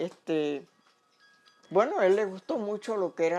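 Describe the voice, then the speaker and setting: Dark and mellow is the tone of this woman's voice. Its pitch varies in an ordinary way. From Panama, Boquete (Chiriquí). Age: 80s+. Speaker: elderly local resident interviewed. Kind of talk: interview, reminiscing. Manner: halting, with repetitions.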